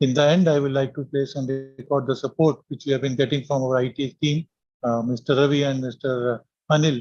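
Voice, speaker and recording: A somewhat breathy voice at a very fast pace, with fairly even intonation. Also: man. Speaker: academy official, medical professor. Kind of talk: vote of thanks. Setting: video call. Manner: formal.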